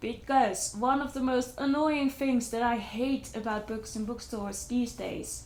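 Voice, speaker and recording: Speaking at a moderate pace with a non-native accent, a woman with a fairly high voice uses ordinary pitch variation amid audible room echo. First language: not English. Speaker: book vlogger. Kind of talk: casual book review vlog. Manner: hesitant, with fillers and restarts.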